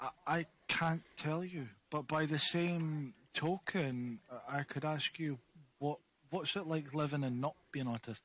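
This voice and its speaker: A man speaks with an Edinburgh accent. His pitch is fairly high and his pace fairly slow. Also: ordinary pitch variation. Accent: Scottish (Edinburgh). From Scotland, Edinburgh. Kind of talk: casual interview.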